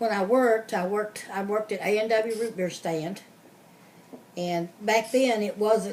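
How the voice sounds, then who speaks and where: Fairly high-pitched, a woman with an American accent speaks at a moderate pace with fairly even intonation. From Kentucky, Louisville. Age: 60s. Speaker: interviewee, relative of interviewer. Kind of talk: oral history interview. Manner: casual, hesitant with fillers.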